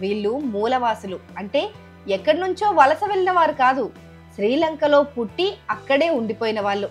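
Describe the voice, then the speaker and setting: The voice moves through very wide pitch swings, with music playing in the background. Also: woman. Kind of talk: news documentary narration.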